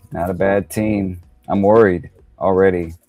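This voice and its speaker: A man's fairly low voice at a moderate pace, fairly even in intonation, over background music. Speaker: fantasy football panelist. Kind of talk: casual chat.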